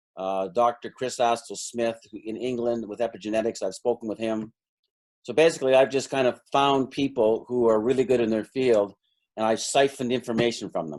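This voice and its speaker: A man with a Canadian accent, an ordinary speaking voice, medium pitch, ordinary pitch variation and a fairly quick pace. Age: 60s. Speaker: energy healing practitioner and stockbroker coach. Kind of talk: interview.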